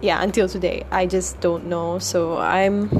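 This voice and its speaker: Noticeable background noise runs under the recording. A woman talks at a moderate pace. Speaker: podcaster. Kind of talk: casual monologue. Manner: hesitant, many fillers.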